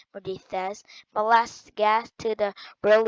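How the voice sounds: A natural reading voice, fairly even in intonation, set against a quiet background.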